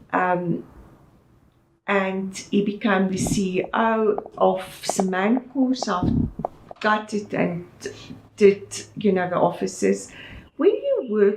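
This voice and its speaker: Over noticeable background noise, the speaker goes at a very slow pace. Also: woman. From South Africa, Eastern Cape. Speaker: interior designer and businesswoman. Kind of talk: interview.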